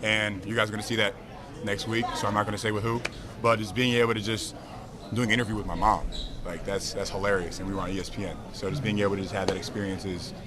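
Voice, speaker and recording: A man speaks very fast in a fairly low, monotone voice with flat intonation, over noticeable background noise and audible room echo. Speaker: professional basketball player. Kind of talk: press interview.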